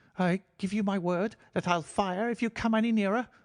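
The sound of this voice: Someone puts on a character voice at a middle pitch, shaky and at a moderate pace, against a quiet background.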